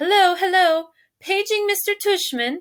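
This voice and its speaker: A woman puts on a character voice at an extremely high pitch. Her pace is moderate. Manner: mocking, playful.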